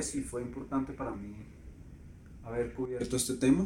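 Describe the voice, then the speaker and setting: A man's dark, mellow voice carries audible room echo. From Colombia. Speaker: photographer. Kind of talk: interview.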